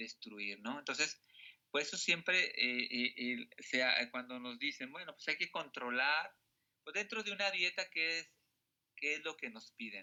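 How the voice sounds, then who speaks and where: A man's lively intonation at a fairly slow pace. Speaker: teacher. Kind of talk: lecture.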